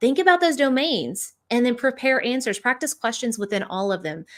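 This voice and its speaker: The recording is very clean, and the background is silent. A woman speaks fairly quickly. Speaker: education leadership coach. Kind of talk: interview. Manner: fast; energetic.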